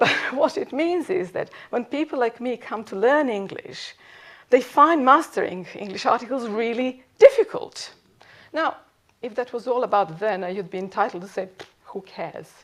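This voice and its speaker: A high-pitched woman with a slight Serbian accent speaks with very wide pitch swings. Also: moderate pace. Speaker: professor. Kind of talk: lecture.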